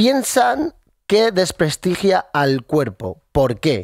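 A man's pitch swings very widely in a dry sound with no echo over a quiet background. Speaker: radio co-host. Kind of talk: casual radio chat. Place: studio. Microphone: studio mic.

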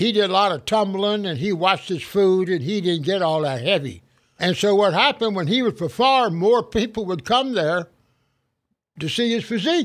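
Lively intonation at a moderate pace, on a very clean recording with a silent background. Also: man, high pitch for a man. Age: 80s+. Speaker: gym owner and strength trainer. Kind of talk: interview answer.

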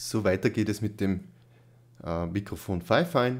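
A man's fairly low voice with ordinary pitch variation, at a fairly slow pace

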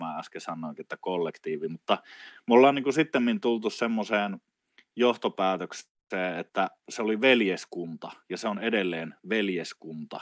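In a dry sound with no echo, a man with an unremarkable speaking voice talks at a moderate pace and a fairly low pitch. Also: quiet background. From Finland, Oulu; Finland. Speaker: traditional wisdom teacher. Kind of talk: casual interview conversation. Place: home room.

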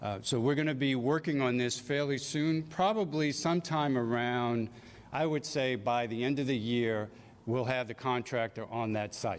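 At a moderate pace, a man talks with very even loudness and ordinary pitch variation. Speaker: city recovery official. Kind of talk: slide presentation at public meeting. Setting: public meeting hall with audience. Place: hall. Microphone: podium.

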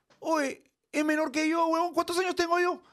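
The background is quiet. The pace is moderate. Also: man. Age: 50s. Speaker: streamer. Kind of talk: casual chat. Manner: animated. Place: studio. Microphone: studio mic.

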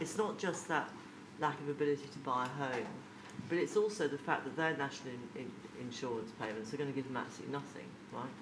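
A woman's extremely low voice at a fast pace, ordinary pitch variation, and clear background noise

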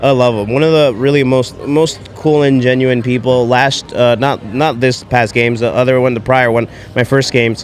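A man speaks at a moderate pace and medium pitch with hardly any pauses, fairly even intonation and very even loudness, in a dry sound with no echo over light background noise. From New Jersey. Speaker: coffee company owner. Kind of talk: casual chat. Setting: live at fitness event. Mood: warm, admiring. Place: hall. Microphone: handheld.

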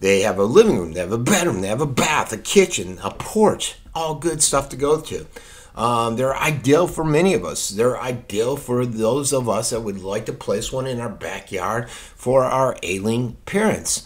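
A man speaking at a moderate pace with lively intonation and hardly any pauses. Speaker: local news commentator. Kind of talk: unscripted opinion talk to camera. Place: home room. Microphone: studio mic.

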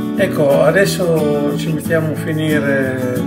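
Loud music plays in the background while a man speaks. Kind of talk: cooking tutorial. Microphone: camera far.

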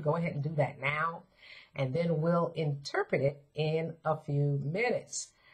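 Somewhat breathy and fairly low in pitch, a woman talks at a moderate pace. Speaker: dream interpretation teacher. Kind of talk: tutorial. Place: home room.

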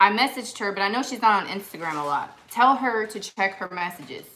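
A woman talks at a fairly quick pace with lively intonation. Light noise sits in the background. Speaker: vintage reseller hosting live sale. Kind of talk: live-stream sale chat. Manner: chatty. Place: home room. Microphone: phone near.

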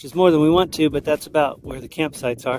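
Music plays in the background while a man talks at a fairly quick pace. The sound is dry, with no echo. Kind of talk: casual vlog chat. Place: open country. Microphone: phone near.

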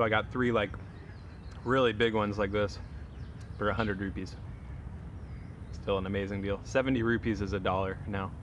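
At a moderate pace with long, frequent pauses, a man speaks at a fairly low pitch with fairly even intonation.

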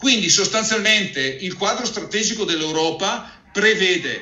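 At a fairly slow pace, a man talks amid audible room echo. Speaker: financial advisor hosting a webinar; presenter. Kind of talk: webinar presentation and interview. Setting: online webinar video call. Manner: halting, frequent repetitions. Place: office. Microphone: earbuds.

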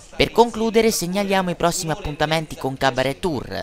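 Speaking fairly quickly with a high pitch and ordinary pitch variation, a man is heard through noticeable background noise. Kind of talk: local news report narration.

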